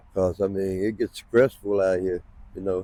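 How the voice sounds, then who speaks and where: In a dry, close recording with no echo, a man with an American accent speaks at a moderate pace in a dark, mellow tone. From North Carolina. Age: 70s. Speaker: homeless man. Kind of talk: street interview.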